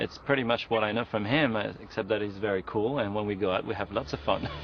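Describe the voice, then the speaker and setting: Talking very fast amid noticeable background noise, a man uses fairly low pitch with ordinary pitch variation. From France. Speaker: singer. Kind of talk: interview.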